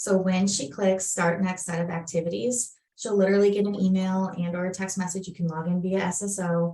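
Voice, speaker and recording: A woman's somewhat breathy voice with a Minnesotan accent and fairly even intonation, amid audible room echo. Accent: Minnesota. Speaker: software product presenter. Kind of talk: webinar product demo. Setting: online webinar.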